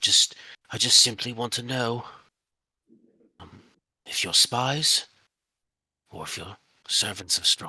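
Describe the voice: A man does a put-on character voice that is raspy and gruff, at a medium pitch with fairly even intonation. He speaks at a fairly slow pace, with long, frequent pauses.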